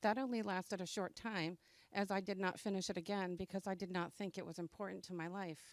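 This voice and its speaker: In a very clean recording with a silent background, a woman speaks in an ordinary speaking voice at medium pitch with fairly even intonation. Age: 60s. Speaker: adult education graduate. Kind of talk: graduation speech. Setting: graduation ceremony with audience. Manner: reading a prepared speech.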